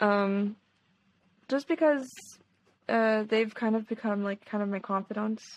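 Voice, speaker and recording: A woman speaks at a moderate pace at a medium pitch. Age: 20s. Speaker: singer and rhythm guitarist. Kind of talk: casual chat.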